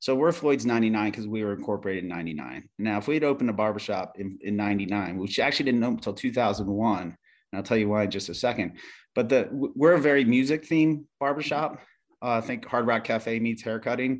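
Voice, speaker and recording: In a very clean recording with a silent background, a man at a medium pitch talks at a fairly quick pace with ordinary pitch variation. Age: 50s. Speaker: barbershop chain co-founder. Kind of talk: interview. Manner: halting, many fillers.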